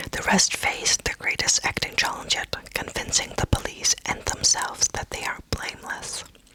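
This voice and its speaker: A woman whispering in a relaxed tone at a moderate pace with hardly any pauses, over noticeable background noise. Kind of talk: ASMR book haul, casual talk to camera. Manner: soft, whispery, relaxed.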